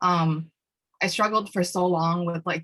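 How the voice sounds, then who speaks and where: Speaking fairly quickly in a New York accent, a woman with a fairly low pitch has a bright, sharp tone and fairly even intonation. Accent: New York American English. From Peruvian-Chinese family, raised in New York City from age 3. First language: Spanish. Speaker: student activist and panelist. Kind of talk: panel discussion. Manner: hesitant, many fillers.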